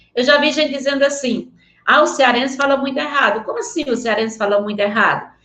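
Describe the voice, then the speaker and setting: A woman's raised, projected voice, high in pitch, with a bright, sharp tone and ordinary pitch variation. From Northeast Brazil (rural area near Vaz Alegre). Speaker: teacher. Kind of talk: online lecture. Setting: remote video link. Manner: animated.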